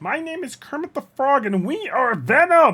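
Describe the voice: Someone puts on a nasal, high-pitched character voice and speaks at a moderate pace.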